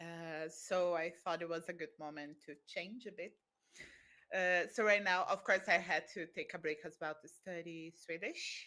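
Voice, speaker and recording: A woman with a Brazilian accent speaks at a fairly slow pace in a fairly low pitch, her bright, sharp tone carrying fairly even intonation but big swings in loudness, in a very clean recording with a silent background. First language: Brazilian Portuguese. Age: 30s. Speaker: volunteer. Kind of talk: interview. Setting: live stream.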